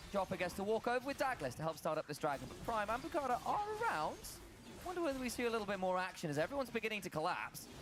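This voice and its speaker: With music playing in the background, a man talks at a very fast pace in a high pitch, his voice making very wide pitch swings. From Britain. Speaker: esports commentator. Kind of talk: live commentary. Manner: animated play-by-play.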